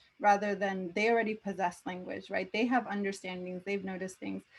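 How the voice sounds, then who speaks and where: A woman speaks at a medium pitch. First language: not English. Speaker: education researcher and author. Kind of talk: panel discussion.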